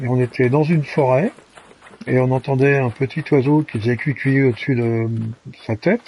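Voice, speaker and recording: This man talks at a medium pitch, with ordinary pitch variation and noticeable background noise around him. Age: 70s. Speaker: gaming streamer. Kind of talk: live gameplay commentary. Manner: halting, many hesitations.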